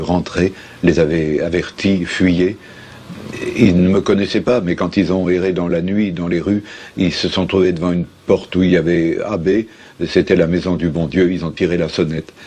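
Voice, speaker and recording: Through noticeable background noise, a man with a very deep, low pitch speaks at a moderate pace in a monotone, flat way. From France, Lyon. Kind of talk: interview answer.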